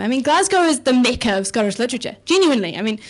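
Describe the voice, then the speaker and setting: Talking at a very fast pace in a New Zealand accent, a woman uses a fairly high pitch with very wide pitch swings. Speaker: comedian. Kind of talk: stand-up. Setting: stage with audience.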